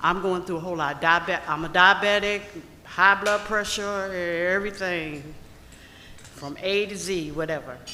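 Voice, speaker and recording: Long pauses come often in this moderately paced speech, set against noticeable background noise. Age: 70s. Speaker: audience member asking question. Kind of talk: audience question. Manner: halting.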